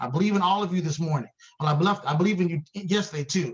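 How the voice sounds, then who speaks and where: A man with a high pitch, ordinary pitch variation and a very fast pace. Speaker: networking event host. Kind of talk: event hosting on video call. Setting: video call. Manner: animated.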